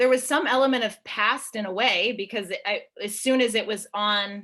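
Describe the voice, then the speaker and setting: Speaking at a fairly slow pace, a woman has a fairly high voice with a bright, sharp tone. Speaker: choreographer. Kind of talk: panel discussion. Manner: rambling, hesitant with fillers.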